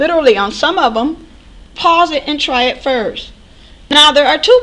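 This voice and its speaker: Raising and projecting her voice, a woman speaks with lively intonation. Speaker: math instructor. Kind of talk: recorded lecture.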